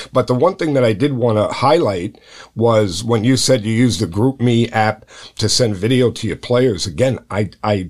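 A man speaks in an ordinary speaking voice at medium pitch, with ordinary pitch variation. His pace is moderate, and the recording is very clean with a silent background. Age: 60s. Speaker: high school baseball coach and podcast host. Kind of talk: casual interview.

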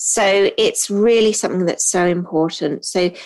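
Speaking at a fairly slow pace in a British accent, a woman keeps her intonation fairly even. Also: quiet background. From Hong Kong. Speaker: podcast host and trainer for admin professionals. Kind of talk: solo podcast monologue. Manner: frequent filler um.

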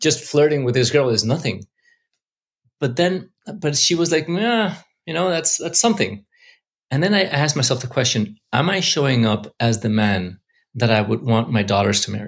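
A man with a medium-pitched, somewhat breathy voice speaks at a moderate pace, making very wide pitch swings and long, frequent pauses. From Mexico City. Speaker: investor and entrepreneur. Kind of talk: interview.

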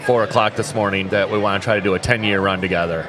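A man with an American accent talks very fast. Noticeable background noise and audible room echo surround him. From New York. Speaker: tournament organizer and foosball player. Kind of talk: casual interview. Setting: on location at a tournament hotel.

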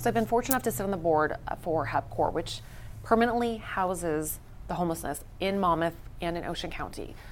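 A woman talks at a very fast pace with vocal fry. Her fairly low pitch carries lively intonation. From Las Vegas. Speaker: beauty pageant titleholder and styling company CEO. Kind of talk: casual chat. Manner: animated.

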